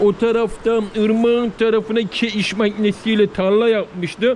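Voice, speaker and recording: A man talks at a high pitch and a fairly slow pace. His intonation is monotone and flat, with noticeable background noise. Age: 40s. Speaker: village vlogger. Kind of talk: casual vlog talk to camera. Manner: halting.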